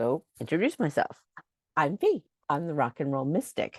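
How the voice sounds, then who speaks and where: The recording of this woman's voice is dry and close, with no echo. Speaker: witchcraft YouTuber and energy healer. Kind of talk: casual vlog monologue. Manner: rambling, hesitant with fillers.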